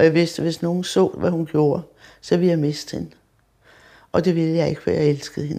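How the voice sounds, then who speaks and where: Dark and mellow in tone, a woman's fairly low voice moves at a fairly quick pace with monotone, flat intonation and long, frequent pauses. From Denmark, Copenhagen (Vesterbro). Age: 70s. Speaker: heart patient. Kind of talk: testimony.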